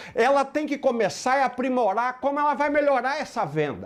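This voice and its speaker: A man's extremely high, animated voice in a strong rural Minas Gerais accent, with ordinary pitch variation at a moderate pace. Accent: strong rural Minas Gerais (caipira). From Brazil, Minas Gerais (rural). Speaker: motivational sales speaker. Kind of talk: motivational talk.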